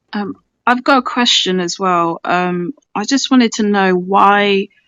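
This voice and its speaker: Speaking at a fairly slow pace, a woman talks with a British accent. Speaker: film fan participant. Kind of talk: casual chat. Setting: audio chat room.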